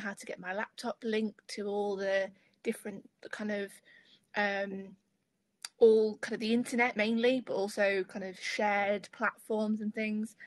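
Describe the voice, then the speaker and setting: A woman with an East Midlands accent speaks in a monotone, flat intonation at a fairly high pitch, against a quiet background. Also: dry sound with no echo. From Lincolnshire, England. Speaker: student ambassador. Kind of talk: webinar panel discussion. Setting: video call. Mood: friendly, relaxed. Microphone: video call.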